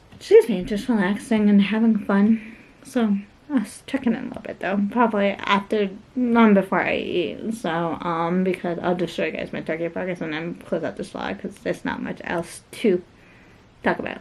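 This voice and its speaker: Amid noticeable background noise, a woman talks at a moderate pace and medium pitch with ordinary pitch variation. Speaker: lifestyle vlogger. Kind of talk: casual vlog talk. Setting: at home.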